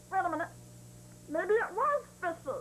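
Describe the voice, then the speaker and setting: A woman's cartoonish character voice, extremely high in pitch, at a moderate pace over clear background noise. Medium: puppet show. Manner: cheeky, comic.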